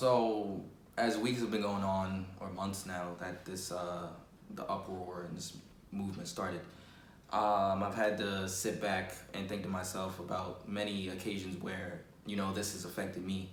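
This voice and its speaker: With a New York accent, a man speaks fairly slowly in a very deep, low voice, his intonation monotone and flat. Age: young. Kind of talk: personal testimony to camera. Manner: casual, conversational.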